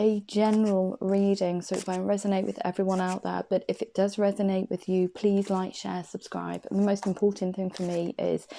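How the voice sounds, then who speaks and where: A woman with an English accent speaks at a medium pitch in a flat monotone, on a very clean recording with a silent background. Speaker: tarot card reader. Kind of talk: tarot reading. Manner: hesitant.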